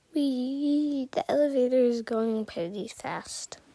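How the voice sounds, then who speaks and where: A high-pitched woman with lively intonation against noticeable background noise. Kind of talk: casual narrated house tour.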